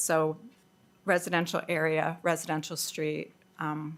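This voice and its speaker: A woman's fairly low voice with vocal fry and a North American accent, on a very clean recording with a silent background. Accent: loud North American. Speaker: public submitter. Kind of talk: public submission at council hearing. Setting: council meeting hearing. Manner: loud.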